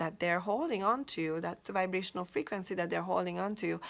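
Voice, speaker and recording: A woman's medium-pitched voice in a Hungarian accent, with ordinary pitch variation, on a very clean recording with a silent background. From Hungary. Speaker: life coach. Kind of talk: motivational talk. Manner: halting, with frequent repetitions.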